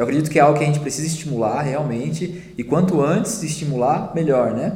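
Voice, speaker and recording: A man talks at a very fast pace with lively intonation. The recording has audible room echo and noticeable background noise. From Brazil, São Paulo. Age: 30s. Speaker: music producer. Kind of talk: casual chat.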